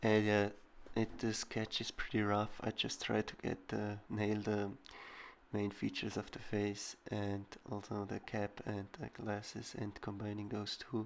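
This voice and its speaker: Very slowly and in a monotone with flat intonation, a man with a non-native accent speaks at a fairly low pitch. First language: not English. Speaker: digital artist. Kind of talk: tutorial voiceover. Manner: halting.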